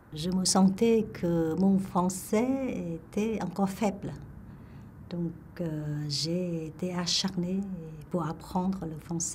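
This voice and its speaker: A woman's fairly low voice with a Vietnamese accent, very slow and broken by long, frequent pauses, over noticeable background noise and audible room echo. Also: ordinary pitch variation. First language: Vietnamese (speaking French). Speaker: retired engineer telling her life story. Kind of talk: life story testimony. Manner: halting, many hesitations.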